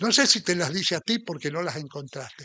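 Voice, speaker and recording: A man's bright, sharp tone comes through at a moderate speed. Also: dry, close sound with no echo. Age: 70s. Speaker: preacher. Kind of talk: sermon.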